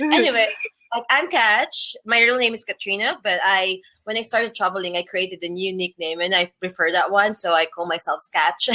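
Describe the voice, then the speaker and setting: A woman with a Filipino accent at a medium pitch. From Philippines. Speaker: travel blogger. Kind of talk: interview. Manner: halting.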